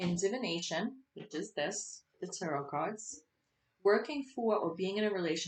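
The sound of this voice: An unforced reading voice sounds against a quiet background.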